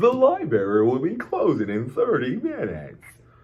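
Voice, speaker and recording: The man puts on a character voice, fairly high in pitch, at a moderate pace. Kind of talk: formal, polite announcement.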